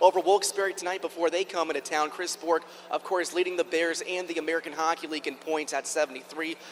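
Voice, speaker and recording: Over noticeable background noise, a man with a high pitch talks very fast with fairly even intonation. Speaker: radio color commentator. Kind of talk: sports broadcast color commentary.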